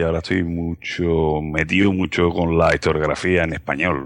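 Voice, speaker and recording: Very deep and low, the man's voice rumbles. The background is quiet. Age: 40s. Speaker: history podcaster. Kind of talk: casual interview.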